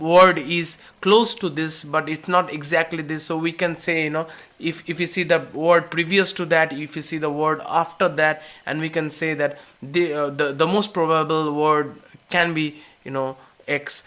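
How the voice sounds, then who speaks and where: Someone with an Indian accent speaks at a fairly slow pace. The recording is very clean, with a silent background. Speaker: course instructor. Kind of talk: lecture. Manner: halting, many fillers.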